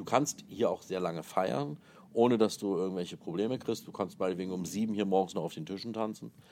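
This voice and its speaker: Ordinary pitch variation and a fairly quick pace from a man with a very deep, low voice. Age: 40s. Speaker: wedding planner and hotel manager. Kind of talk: interview.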